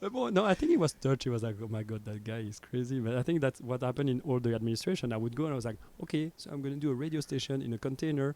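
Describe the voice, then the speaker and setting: Speaking very fast with a French accent, a man uses a medium pitch, ordinary pitch variation, and a dark, mellow tone, with hardly any pauses. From Belgium (Brussels). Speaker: radio station founder. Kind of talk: casual chat. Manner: animated.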